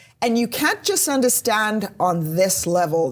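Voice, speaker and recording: A woman speaks with lively intonation. Her voice is somewhat breathy. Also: very clean recording, silent background. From South Africa. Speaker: police officer. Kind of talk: podcast interview.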